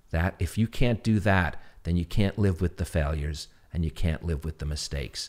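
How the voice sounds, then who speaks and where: A man in a New York accent, with very deep, low pitch, ordinary pitch variation and a moderate pace. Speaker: TV interviewer and former sportscaster. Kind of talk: casual interview chat, storytelling.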